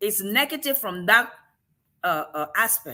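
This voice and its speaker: With an African accent, a woman speaks in an animated, bright and sharp tone. Her pace is fairly slow and her pitch swings very widely. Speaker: show host. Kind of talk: casual discussion.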